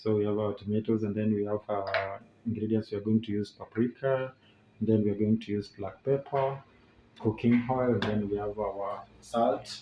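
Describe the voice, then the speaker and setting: A man talks at a moderate pace in a fairly low voice. His intonation stays monotone and flat, with noticeable background noise behind him. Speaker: family vlogger. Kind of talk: casual cooking vlog. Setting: home kitchen. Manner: halting, many fillers and repetitions.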